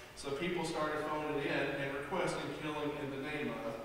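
A man's voice carries through strong room echo, with noticeable background noise also present. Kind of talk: stage song introduction. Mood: playful, amused. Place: stage.

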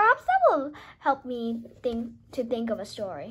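In a put-on character voice, a woman speaks at a moderate pace with a fairly high pitch, a slightly husky edge and very wide pitch swings.

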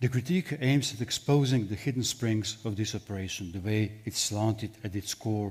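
A man with a Slovenian accent, fairly low pitch, somewhat breathy, ordinary pitch variation and a moderate pace. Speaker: philosopher. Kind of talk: panel discussion. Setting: stage with audience. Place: hall. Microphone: headset.

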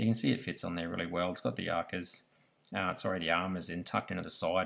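Talking at a very fast pace, a man with a very deep, low pitch uses ordinary pitch variation. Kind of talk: casual vlog chat. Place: garden. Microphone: phone near.

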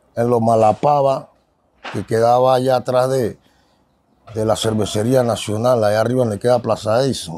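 The sound is dry with no echo as a man talks at a moderate pace with fairly even intonation. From Panama, San Miguelito. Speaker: ex-convict turned preacher. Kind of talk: testimony. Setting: outdoors. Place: street. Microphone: handheld.

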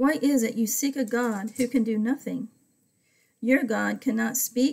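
Against a quiet background, a woman with a fairly high pitch speaks in a dark, mellow tone and fairly even intonation. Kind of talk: Bible study teaching with prayer. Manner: fervent; rambling. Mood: calm, devotional. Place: home room. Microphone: webcam.

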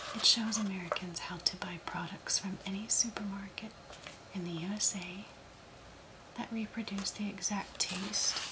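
The voice is delivered in a flat monotone over loud background noise. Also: woman, medium pitch for a woman. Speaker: ASMR creator. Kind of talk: reading aloud from a book. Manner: soft-spoken, slow.

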